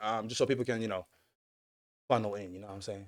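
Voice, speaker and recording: In an American accent, a man talks with an animated tone. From New York City. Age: 20s. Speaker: streamer. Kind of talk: livestream chat. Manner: loud.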